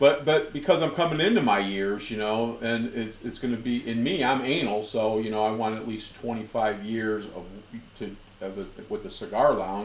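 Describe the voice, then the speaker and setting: Audible room echo and noticeable background noise surround a man's voice. He talks at a moderate pace with medium pitch and ordinary pitch variation. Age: 60s. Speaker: whiskey show host. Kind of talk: casual chat.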